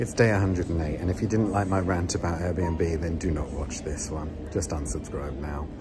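Music plays behind a man whose pitch varies in an ordinary way. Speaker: entertainer vlogger. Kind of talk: casual vlog rant. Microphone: phone near.

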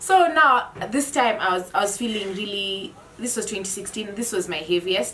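A woman over light background noise. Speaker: group vlogger. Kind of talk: casual vlog chat. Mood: animated, laughing storytelling. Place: home room. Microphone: camera far.

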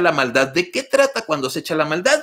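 A man's animated, bright, sharp voice over a quiet background. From Mexico, Torreón; Coahuila, Mexico. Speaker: live stream host. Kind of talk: casual live stream chat. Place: home room. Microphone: studio mic.

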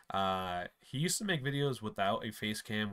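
Against a quiet background, a man talks at a moderate pace with a fairly low pitch and a bright, sharp tone. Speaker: YouTuber. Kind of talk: casual talk to camera. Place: home room.

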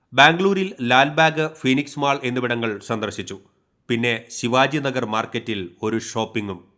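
In a very clean recording with a silent background, a man speaks at a medium pitch with ordinary variation and a bright, sharp tone. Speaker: news reporter. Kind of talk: news voice-over narration. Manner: formal.

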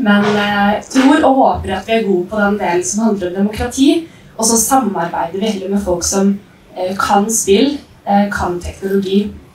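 A woman at a moderate pace, with ordinary pitch variation and audible room echo. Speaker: presenter. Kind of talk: presentation talk. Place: stage.

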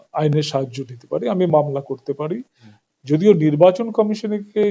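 This man's voice sits fairly high in pitch. His tone is dark and mellow. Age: old. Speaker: political activist. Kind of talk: interview. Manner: animated.

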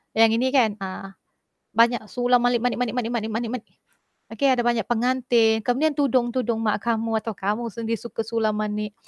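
A woman with a fairly high pitch talks very fast in a flat monotone, her loudness swinging widely, in a dry, echo-free recording with a quiet background. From Malaysia. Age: 40s. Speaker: school teacher. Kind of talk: online class lecture. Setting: video call. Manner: casual, halting with fillers. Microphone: headset.

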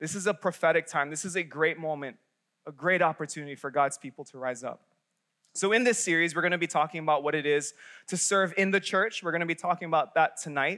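Over a quiet background, a man talks at a very fast pace. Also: ordinary pitch variation. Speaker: young adult pastor. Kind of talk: sermon. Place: church. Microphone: headset.

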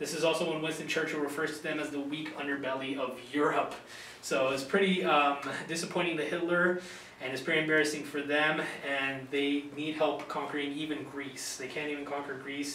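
Speaking fairly quickly in a monotone, flat way, a man with a fairly high pitch is heard with audible room echo and light background noise. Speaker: university student. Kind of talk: recorded class presentation. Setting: video recording. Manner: hesitant, many fillers. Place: classroom. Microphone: camera far.

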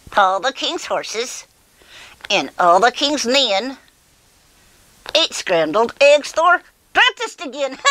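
The speaker uses a cartoonish character voice. The pace is fairly slow, with long, frequent pauses. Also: woman, high pitch for a woman. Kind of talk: children's ventriloquist puppet voice. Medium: puppet show. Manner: excitable, giddy, playful.

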